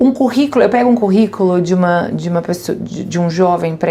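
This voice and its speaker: A woman talks at a fairly quick pace with ordinary pitch variation. Noticeable background noise runs beneath her voice. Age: 40s. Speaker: business executive. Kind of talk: podcast interview.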